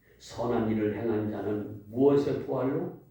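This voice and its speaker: Fairly slow speech amid noticeable background noise and audible room echo. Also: man. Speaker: pastor. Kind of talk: sermon. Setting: church. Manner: interactive, questioning congregation.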